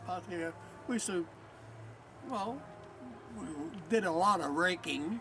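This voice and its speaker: With music in the background, a man with an American accent speaks at a high pitch with lively intonation and a moderate pace, leaving long, frequent pauses. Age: 80s+. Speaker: war veteran. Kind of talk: interview. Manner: halting.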